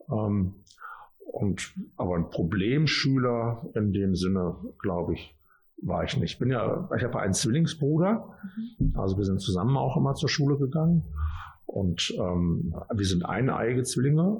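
This man talks at a moderate pace in a medium pitch, somewhat breathy, his pitch swinging very widely while his loudness stays very even. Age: 50s. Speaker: mayor. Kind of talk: interview with children. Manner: casual, with fillers.

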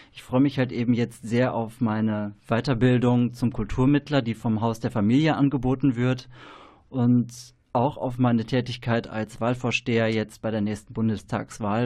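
A man with a dark, mellow tone speaks at medium pitch and a moderate pace. His intonation is monotone and flat, and the background is quiet. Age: 30s. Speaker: trainee educator. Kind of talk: radio interview. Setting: radio studio.

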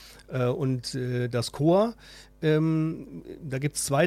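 The recording is very clean with a silent background. A man with a fairly high pitch speaks at a very slow pace. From Ruhr area, Essen. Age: 50s. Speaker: student fraternity member. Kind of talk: radio interview.

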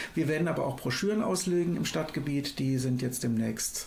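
Audible room echo surrounds a man talking at a moderate pace. His pitch is medium and his intonation lively. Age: 50s. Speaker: climate activist. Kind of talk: radio interview. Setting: studio. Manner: hesitant with fillers.

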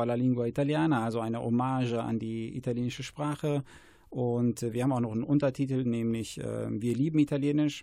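A man's medium-pitched voice, dark and mellow in tone, at a fairly quick pace with fairly even intonation. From Germany, Paderborn. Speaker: school principal and Italian teacher. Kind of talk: radio interview. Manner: hesitant with frequent fillers.

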